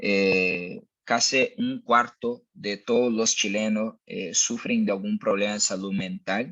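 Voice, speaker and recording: This man has a Brazilian accent. His pace is very slow. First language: Portuguese (speaking Spanish). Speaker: mental health company speaker. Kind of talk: webinar presentation. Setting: online webinar. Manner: hesitant, frequent fillers.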